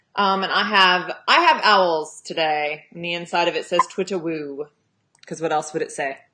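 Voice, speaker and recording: A woman with an American accent speaks at a moderate pace with fairly even intonation. Her fairly low voice has a bright, sharp tone. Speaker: romance author and livestream host. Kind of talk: casual chat. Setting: livestream.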